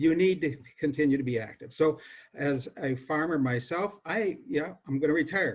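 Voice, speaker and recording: Somewhat breathy, a man talks in a fairly high pitch. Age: 60s. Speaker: farmer. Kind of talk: presentation. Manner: halting, many fillers.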